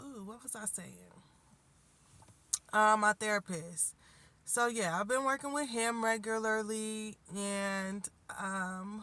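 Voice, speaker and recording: A woman's fairly high, bright, sharp voice at a very slow pace, with fairly even intonation, long, frequent pauses and big swings in loudness. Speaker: life coach and spiritual healer. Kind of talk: casual vlog update. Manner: conversational, many fillers.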